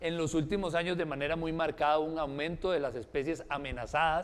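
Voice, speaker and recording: A man's fairly high voice at a fairly quick pace. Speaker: researcher. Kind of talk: lecture. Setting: forum with audience and live stream. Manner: fast.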